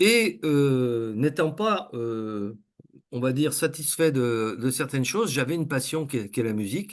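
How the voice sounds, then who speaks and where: Spoken at a fairly slow pace with ordinary pitch variation over a quiet background. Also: man. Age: 60s. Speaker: coach and trainer. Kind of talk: interview. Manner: halting, many fillers.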